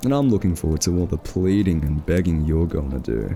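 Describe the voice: A man performs a put-on character voice at extremely low pitch, dark and mellow in tone. He talks at a fairly quick pace with big pitch swings over faint background noise.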